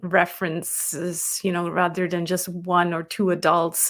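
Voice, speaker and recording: A woman's medium-pitched voice with a non-native accent. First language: not English. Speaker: business coach and author. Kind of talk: interview conversation. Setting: live online interview.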